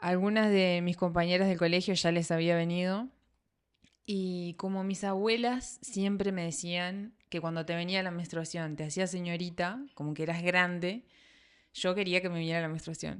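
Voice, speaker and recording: A woman speaks with a Uruguayan accent at a fairly low pitch. Her intonation stays fairly even at a moderate pace. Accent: Uruguayan Rioplatense Spanish. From Uruguay, Salto. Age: 30s. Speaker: podcast host. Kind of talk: scripted narration; casual chat.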